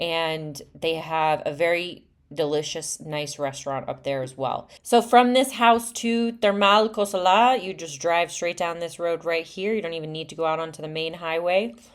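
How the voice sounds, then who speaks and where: A woman speaks at a moderate pace with a fairly low pitch and lively intonation. She leaves hardly any pauses. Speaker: real estate agent. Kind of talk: property tour narration. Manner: halting, many fillers; casual, chatty.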